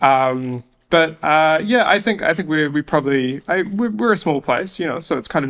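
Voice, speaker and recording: A man speaks at a fairly quick pace. He has a New Zealand accent. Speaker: business partnership lead. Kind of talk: podcast interview answer. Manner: hesitant, casual.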